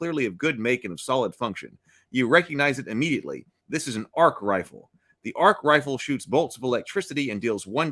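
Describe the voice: Over a quiet background, someone does plain reading aloud.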